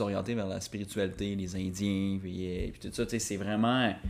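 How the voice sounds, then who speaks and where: A man speaks at a fairly slow pace with a fairly low pitch. His intonation is flat and monotone. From Quebec, Rivière-du-Loup. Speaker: podcast co-host. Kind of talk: casual chat.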